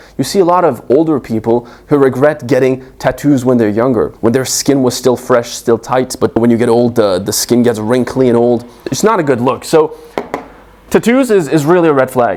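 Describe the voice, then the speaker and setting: A man with a non-native accent at a medium pitch, lively in intonation, over noticeable background noise. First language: not English. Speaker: dating coach. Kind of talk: advice monologue.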